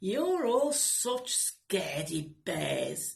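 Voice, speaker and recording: A female-sounding, put-on character voice sits at a fairly high pitch. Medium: read story. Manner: gruff, scoffing.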